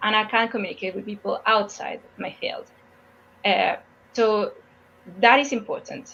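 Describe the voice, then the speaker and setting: Moderately paced female speech broken by long, frequent pauses. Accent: Spanish. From Mexico. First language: Spanish. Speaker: geophysicist. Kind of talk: interview Q&A. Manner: halting, with frequent repetitions.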